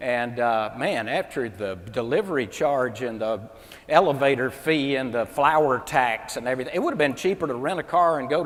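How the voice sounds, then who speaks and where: Amid audible room echo, a man with a fairly high voice speaks at a moderate pace with lively intonation. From US South, Mississippi. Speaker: comedian and motivational speaker. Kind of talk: stand-up comedy keynote. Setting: stage with audience at a convention. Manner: animated.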